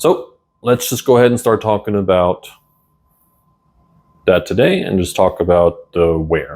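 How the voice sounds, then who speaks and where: Pitched fairly low, a man talks at a fairly slow pace with lively intonation. He makes long, frequent pauses. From Germany. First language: German. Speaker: language teacher. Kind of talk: tutorial. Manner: casual, conversational.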